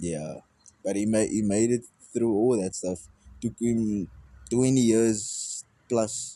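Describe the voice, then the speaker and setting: A man with a dark, mellow tone and medium pitch speaks at a very slow pace, with ordinary pitch variation and long, frequent pauses. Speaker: musician. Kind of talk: casual chat. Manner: halting.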